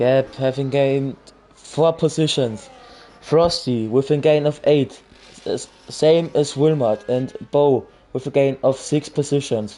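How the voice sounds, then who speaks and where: A man talks at a fairly slow pace with a fairly high pitch. Noticeable background noise runs behind him. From Austria. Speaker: sim racing commentator. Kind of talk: live commentary. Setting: livestream. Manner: animated; halting.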